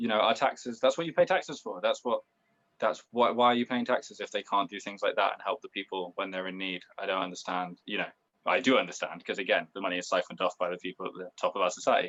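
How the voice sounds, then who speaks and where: Speaking at a very fast pace in a West Country accent, a man is heard in a dry, close sound with no echo. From Bristol, England. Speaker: punk musician. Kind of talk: interview.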